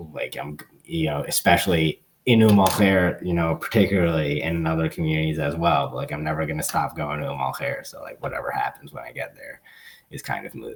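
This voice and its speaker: A man with an American accent speaks at a fairly quick pace in a very deep, low pitch with vocal fry. His loudness swings widely while his pitch varies in an ordinary way. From Long Island, New York. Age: 30s. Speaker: activist. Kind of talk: Q&A talk on a video call. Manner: hesitant, many fillers and repetitions.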